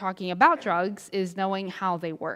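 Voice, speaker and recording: This is a woman with an American accent. Her pitch is medium. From US South. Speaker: substance use prevention educator. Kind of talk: lecture. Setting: church presentation. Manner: fast.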